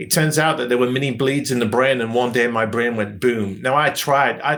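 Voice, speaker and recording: A man with a British accent speaks at a moderate pace in a medium pitch, with ordinary pitch variation and noticeable background noise. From England, Nottingham. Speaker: training and development consultant. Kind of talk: podcast interview.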